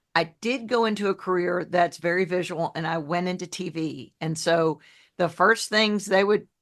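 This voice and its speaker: This woman speaks with a Southern US accent at a moderate pace, her pitch medium. Her pitch variation is ordinary, and the background is quiet. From New Orleans, US South (raised from age ten). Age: 60s. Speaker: health coach, former TV journalist. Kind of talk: podcast interview. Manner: warm, down-to-earth.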